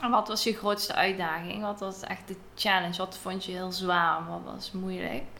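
Over noticeable background noise, a woman talks at a fairly slow pace with fairly even intonation. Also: medium pitch for a woman. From Netherlands. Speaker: podcast host and travelling cook. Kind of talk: interview. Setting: recorded in a house in Greece.

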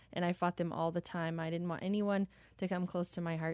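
Speaking at a very fast pace, a woman with an American accent uses a fairly low pitch and monotone, flat intonation over a quiet background. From US (military family, North Carolina, New Mexico). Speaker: program graduate telling her story. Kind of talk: testimony. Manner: poised.

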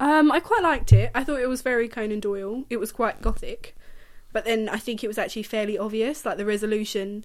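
Her words come at a very fast pace as this woman speaks in a fairly high pitch that varies in an ordinary way. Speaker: podcast co-host. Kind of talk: casual chat. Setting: at home with a dog.

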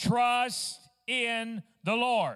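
A man with an Arkansas accent. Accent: Southern US (Arkansas). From US South, Fort Smith, Arkansas. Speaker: traveling Pentecostal minister. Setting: church service with congregation. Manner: fervent, rising intensity with emphatic repetition.

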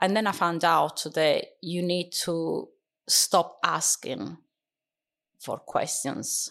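A woman with an Italian accent at a very slow pace, with long, frequent pauses over a quiet background. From Sicily, Italy (Catania). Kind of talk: interview. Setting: studio.

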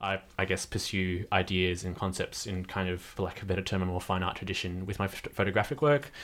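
A man with an Australian accent and a very deep, low pitch, at a very fast pace with hardly any pauses, on a very clean recording with a silent background. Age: 20s. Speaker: writer and photographer. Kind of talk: casual chat. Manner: animated.

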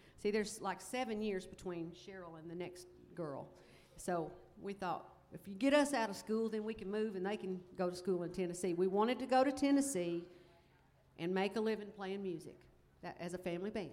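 A woman with a Southern US accent speaks at a fairly quick pace and medium pitch. Her loudness swings widely. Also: ordinary pitch variation. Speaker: country music singer in family band. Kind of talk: casual onstage conversation. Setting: festival stage with audience.

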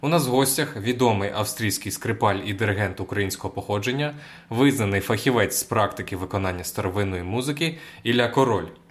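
Somewhat breathy, a man speaks at a fairly quick pace. His pitch variation is ordinary. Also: medium pitch for a man. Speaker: radio host and interviewer. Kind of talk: interview.

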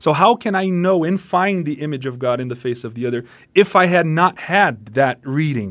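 A man's fairly high voice with lively intonation sits in a very clean recording over a silent background. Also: moderate pace. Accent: Portuguese. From Brazil. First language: Portuguese. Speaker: pastor and musician. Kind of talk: radio interview.

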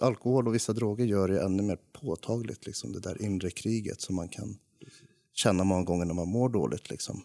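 A man speaks with a very deep, low pitch and a dark, mellow tone. His pitch variation is ordinary. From Stockholm area, Sweden. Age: 20s. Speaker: ADHD advocate, former heavy drinker. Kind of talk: casual chat.

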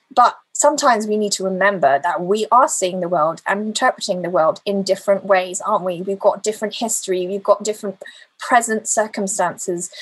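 A woman talks at a fairly quick pace with hardly any pauses, in a normal speaking voice. Her pitch is medium and varies in an ordinary way. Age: 40s. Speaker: lay preacher. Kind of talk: sermon.

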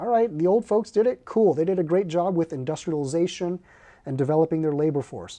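With a Californian accent, a man speaks at a fairly quick pace in a high, dark, mellow voice with ordinary pitch variation. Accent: Californian American English. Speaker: corporate advisor and professor. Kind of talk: interview conversation. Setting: studio.

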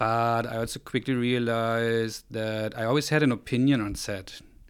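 Speaking in a German accent, a man keeps a medium pitch and a moderate pace. The recording is very clean, with a silent background. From East Germany, Rostock on the Baltic coast. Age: 40s. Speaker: photographer and software company co-founder. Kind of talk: interview conversation.

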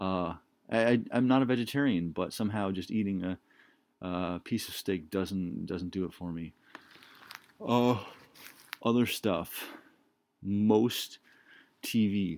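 The speech moves at a very slow pace, broken by long, frequent pauses. The recording is very clean, with a silent background. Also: man, fairly low pitch for a man, ordinary pitch variation. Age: 30s. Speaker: solo podcaster. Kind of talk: solo monologue. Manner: halting, many fillers.

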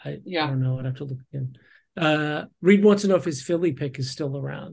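A man with an American accent speaks at a fairly high pitch in a somewhat breathy voice with ordinary pitch variation over a quiet background. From Texas. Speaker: podcast guest, fantasy sports player. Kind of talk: casual chat. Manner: halting, many fillers.

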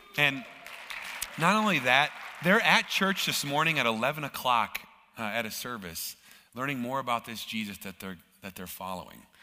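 Through noticeable background noise, a man with an American accent speaks at a moderate pace and medium pitch, with very wide pitch swings, big swings in loudness, and long, frequent pauses. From Minnesota, US. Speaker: guest church speaker for a charity. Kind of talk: sermon. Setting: church with live audience.

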